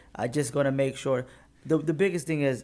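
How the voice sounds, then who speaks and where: A man's unremarkable speaking voice with an American accent, fairly high in pitch and fairly quick, in a very clean recording with a silent background. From Detroit area, Michigan. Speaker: business owner. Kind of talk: interview.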